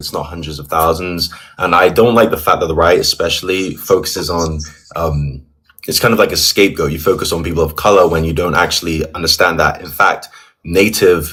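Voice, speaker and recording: A man talks at a fairly quick pace with a very deep, low pitch. His intonation is fairly even, though his loudness swings widely. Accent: London. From England, London. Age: 20s. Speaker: caller. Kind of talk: heated debate. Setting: video call. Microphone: audio too quiet.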